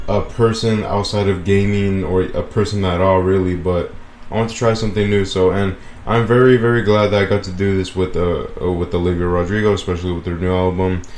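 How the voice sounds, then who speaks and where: A man talks fairly quickly in a fairly low voice. His intonation is monotone and flat, and room echo is audible. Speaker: gaming YouTuber reviewing a music album. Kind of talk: casual video commentary. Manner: halting, many repeats and fillers.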